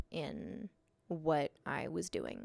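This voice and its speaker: A soft-spoken woman is heard on a very clean recording with a silent background. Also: dry, close sound with no echo. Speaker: artist and photographer. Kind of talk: personal vlog monologue. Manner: hesitant, many fillers.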